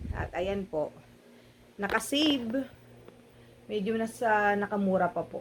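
A woman of medium pitch at a fairly slow pace, with long, frequent pauses and ordinary pitch variation. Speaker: vlogger. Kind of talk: shopping vlog narration. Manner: animated.

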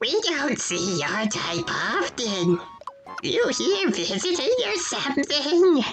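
Faint music plays in the background of a put-on character voice. The high-pitched voice moves very slowly with very wide pitch swings.

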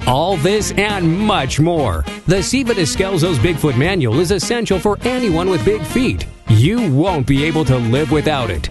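Music plays in the background behind a man. His pitch swings very widely. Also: fairly high pitch for a man, moderate pace. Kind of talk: infomercial spoof read. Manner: upbeat, salesy.

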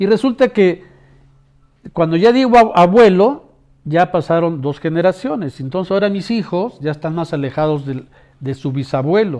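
The man's voice sits high and has lively intonation. He leaves long, frequent pauses. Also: moderate pace. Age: old. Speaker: sociologist. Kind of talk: public service appeal to viewers. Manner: warm, conversational.

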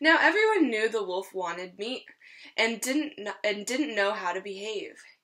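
Lively intonation and a fairly bright tone at a moderate pace. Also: woman.

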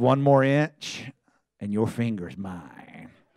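A man's put-on character voice, growling at a very slow pace in a medium pitch. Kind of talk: sermon. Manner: menacing. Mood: playful, smiling.

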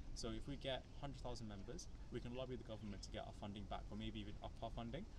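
Talking at a very fast pace, a man sounds dry with no echo while noticeable background noise runs underneath. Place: street. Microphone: camera far.

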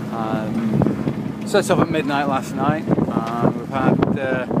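A man is speaking in a dry sound with no echo. Loud background noise runs underneath. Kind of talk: casual vlog chat. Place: boat. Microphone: phone near.

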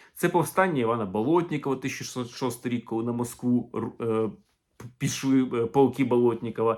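An animated male voice at a moderate pace, with ordinary pitch variation, on a very clean recording with a silent background. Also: medium pitch for a man. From Ukraine. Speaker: historian and video blogger. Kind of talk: video commentary.

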